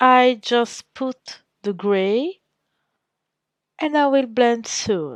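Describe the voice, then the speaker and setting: Over a quiet background, a woman speaks with ordinary pitch variation in a dry, close sound with no echo. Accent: non-native. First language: not English. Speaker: painter. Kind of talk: tutorial. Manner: halting.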